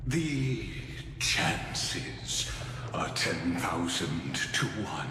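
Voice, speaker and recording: Delivered at a very slow pace, a put-on character voice comes through loud background noise and a clear echo. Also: man, very deep, low pitch for a man. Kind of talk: game cutscene voice acting. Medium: game stream. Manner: grandiose, measured.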